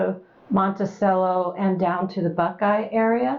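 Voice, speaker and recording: At a fairly slow pace, a woman speaks at a medium pitch in a normal speaking voice. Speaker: oral history interviewer. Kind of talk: interview questions.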